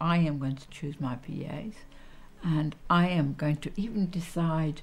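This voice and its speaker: A woman with a very deep, low pitch, somewhat breathy, at a fairly slow pace with ordinary pitch variation. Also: big swings in loudness. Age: 60s. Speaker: social care user. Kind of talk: testimony.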